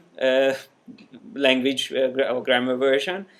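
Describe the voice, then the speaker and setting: A man with a Hungarian accent and a fairly high voice. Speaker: software trainer. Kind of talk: live software tutorial class. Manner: halting, many fillers. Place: classroom.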